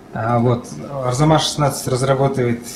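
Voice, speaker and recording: With audible room echo and noticeable background noise, a man talks at a moderate pace and medium pitch with ordinary pitch variation. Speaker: conference speaker, app developer. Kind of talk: conference talk. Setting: stage with audience. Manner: halting.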